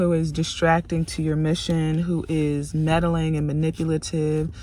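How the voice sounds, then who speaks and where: The speech moves at a moderate speed with noticeable noise behind it. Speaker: tarot reader, vlogger. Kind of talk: casual rant to camera. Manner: animated, emphatic.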